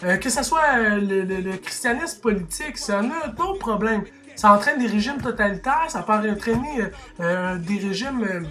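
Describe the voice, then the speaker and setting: Over noticeable background noise, a man with a Quebec accent uses a raised, projected voice at a high pitch, moving at a moderate pace with lively intonation. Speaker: YouTuber commentator. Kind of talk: opinion rant to camera. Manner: animated, heated; halting, repeats words.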